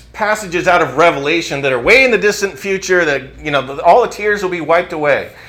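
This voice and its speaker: The room echo is audible, and noticeable background noise runs underneath. A man talks at a fairly quick pace in a raised, projected voice. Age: 50s. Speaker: pastor. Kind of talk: sermon. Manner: halting.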